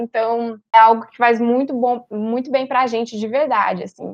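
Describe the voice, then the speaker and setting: A woman talks in an unremarkable speaking voice at a moderate pace. Her pitch sits fairly high. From São Paulo city, Brazil. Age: 20s. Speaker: economics student. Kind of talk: casual chat.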